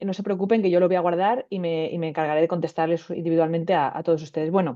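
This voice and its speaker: This woman speaks at a medium pitch. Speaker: radiobiologist. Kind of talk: webinar lecture. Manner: fast; hesitant fillers.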